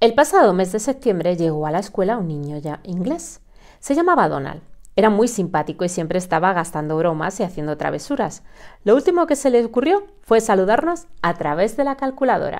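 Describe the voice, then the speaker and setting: The pitch rises and falls in very wide swings. The pace is fairly quick. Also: woman, medium pitch for a woman. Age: 40s. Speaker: storyteller YouTuber. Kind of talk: tutorial; storytelling for children. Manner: animated.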